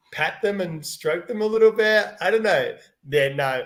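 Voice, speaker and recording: Animated in tone, a man with an Australian accent and a high pitch speaks with very wide pitch swings. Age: 50s. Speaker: children's book author. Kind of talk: live Q&A.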